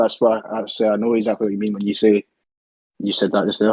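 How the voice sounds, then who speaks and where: The man's speech comes at a very fast pace and a medium pitch. The sound is dry and close, with no echo. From Scotland. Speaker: trading student and racing driver. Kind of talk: interview.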